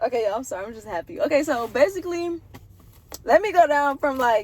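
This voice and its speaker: Very fast, animated speech over noticeable background noise. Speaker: vlogger. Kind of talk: testimony. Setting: in a car.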